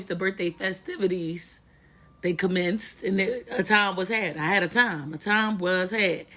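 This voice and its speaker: Using a put-on character voice, a woman sounds hoarse at medium pitch and a moderate pace. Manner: humorous, playful.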